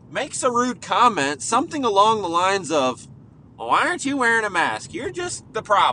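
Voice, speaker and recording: Using a raised, projected voice, a man speaks at a high pitch and moderate pace with a bright, sharp tone and very wide pitch swings. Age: 30s. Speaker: podcast host. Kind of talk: casual monologue. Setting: in a car.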